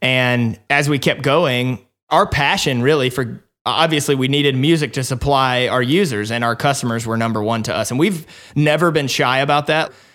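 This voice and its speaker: On a very clean recording with a silent background, a man with a slight Southern US accent talks at a medium pitch and moderate pace, with ordinary pitch variation. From Alabama. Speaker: startup co-founder. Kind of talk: casual interview.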